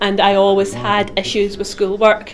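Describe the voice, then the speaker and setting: Through noticeable background noise, a woman with a Scottish accent talks at a medium pitch and a fairly slow pace. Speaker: student teacher. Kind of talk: interview testimony.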